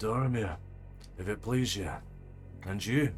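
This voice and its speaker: A man does a put-on character voice at a medium pitch and a moderate pace, with clear background noise behind him. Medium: actual play. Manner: slow, reflective.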